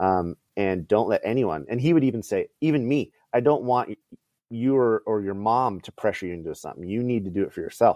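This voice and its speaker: This is a normal speaking voice. It has ordinary pitch variation. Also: man. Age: 40s. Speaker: minor league ballpark MC. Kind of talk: casual chat.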